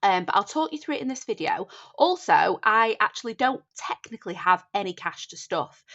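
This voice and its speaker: Speaking at a fairly quick pace in a Northern English accent, a woman swings her pitch very widely. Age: 30s. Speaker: budgeting content creator. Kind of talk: casual talk to camera.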